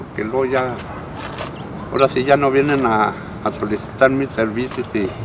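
With noticeable background noise and a dry sound with no echo, a man talks at a moderate pace and medium pitch. His intonation is fairly even, broken by long, frequent pauses. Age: 70s. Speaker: retired heavy machine operator. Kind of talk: interview answer. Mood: warm, reminiscing, amused. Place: open country.

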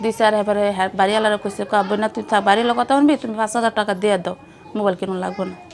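A woman's medium-pitched voice carries fairly even intonation while noticeable background noise plays behind her. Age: middle-aged. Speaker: widow in poverty telling her story. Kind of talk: interview testimony.

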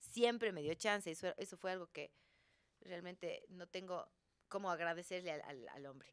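A woman talks with big swings in loudness and ordinary pitch variation over a quiet background. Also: moderate pace. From Ecuador, Cuenca; Ecuador. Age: 40s. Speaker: actress. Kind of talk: casual chat. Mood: relaxed, reflective. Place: studio. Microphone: studio mic.

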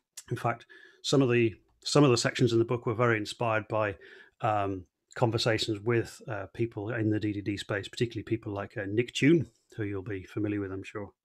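A man talks in an ordinary speaking voice at a fairly low pitch with fairly even intonation. His pace is fairly quick, and the background is quiet. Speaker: conference presenter. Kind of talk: online talk presentation. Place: home room. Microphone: headset.

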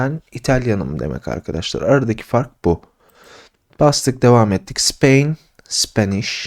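A man speaks in a plain, everyday voice at a medium pitch and a fairly slow pace, with lively intonation. The sound is dry and close with no echo, on a very clean recording with a silent background. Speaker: English teacher. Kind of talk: tutorial. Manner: casual.

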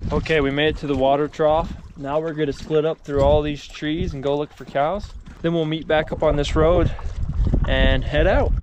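At a moderate pace, the voice comes through dry with no echo, though noticeable background noise is present. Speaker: ranch vlogger. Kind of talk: casual vlog chat. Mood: joking, upbeat. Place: open country. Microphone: phone near.

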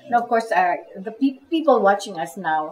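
Her pitch swings very widely as this woman speaks. Light background noise is present. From Philippines. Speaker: talk show host. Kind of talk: interview. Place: cafe.

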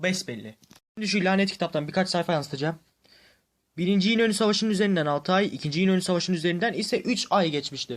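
A man's high-pitched voice at a very fast pace, with ordinary pitch variation. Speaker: YouTube history commentator. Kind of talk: monologue debunking video. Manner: harsh-toned.

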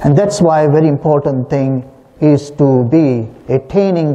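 A man is talking. He goes at a fairly slow pace. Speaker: priest. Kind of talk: sermon. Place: church.

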